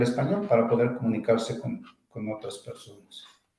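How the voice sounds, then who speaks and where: In an Oaxacan accent, a man with a medium pitch and a dark, mellow tone speaks with vocal fry and ordinary pitch variation, and room echo is audible. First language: Zapotec (speaking Spanish). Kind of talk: interview. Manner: halting, with frequent repetitions.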